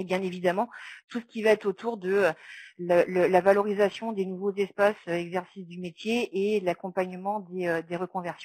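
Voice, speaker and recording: In a very clean recording with a silent background, a woman talks at a moderate pace with a medium pitch and a monotone, flat delivery, the sound dry and close with no echo. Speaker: round-table speaker on social work training. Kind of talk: round-table presentation. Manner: halting, many fillers.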